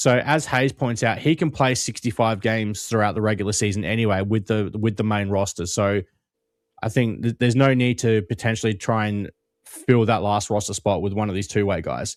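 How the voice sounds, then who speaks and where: A fairly low-pitched man with an Australian accent, fairly quick, with ordinary pitch variation, on a very clean recording with a silent background. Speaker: basketball podcast co-host. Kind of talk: casual chat.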